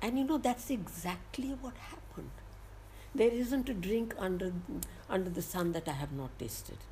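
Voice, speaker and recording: Her medium-pitched voice, dark and mellow with vocal fry, moves in very wide pitch swings as the woman speaks at a moderate pace. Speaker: entrepreneur. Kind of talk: interview storytelling. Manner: animated, laughing.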